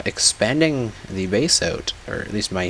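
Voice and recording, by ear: A man talks over noticeable background noise.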